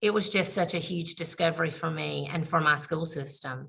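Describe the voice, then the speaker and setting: A woman's very deep, low voice with vocal fry and a bright, sharp tone, at a fairly slow pace. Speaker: special education administrator. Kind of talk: webinar presentation. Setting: video call from computer.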